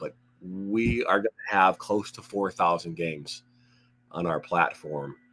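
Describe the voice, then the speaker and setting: A raspy, put-on character voice from a man, very deep and low in pitch, at a fairly slow pace, with ordinary pitch variation and big swings in loudness. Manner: secretive.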